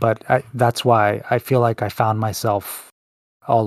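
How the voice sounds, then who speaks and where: A man with a medium pitch speaks at a moderate pace in a monotone, flat intonation. The sound is dry and close with no echo, in a very clean recording with a silent background. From El Salvador. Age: 30s. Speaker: podcast host, HR worker. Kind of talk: casual interview chat.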